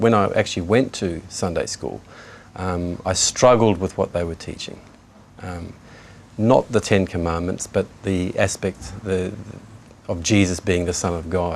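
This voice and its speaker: Pitched very deep and low, a man with a New Zealand accent speaks at a fairly slow pace in fairly even intonation, with long, frequent pauses. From New Zealand, Kaikohe. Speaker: convert to Islam. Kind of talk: testimony. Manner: halting, many fillers.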